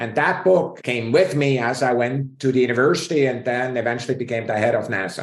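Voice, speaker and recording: Someone with a Swiss accent talks at a fairly quick pace with hardly any pauses. The pitch variation is ordinary. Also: man, medium pitch for a man. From Switzerland, mountain village. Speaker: space scientist. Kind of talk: interview.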